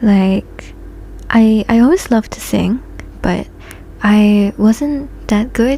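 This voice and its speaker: Ordinary pitch variation comes through in a voice with a non-native accent. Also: woman. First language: not Japanese. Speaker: vtuber streamer. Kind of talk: casual chat. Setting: live stream. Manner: halting.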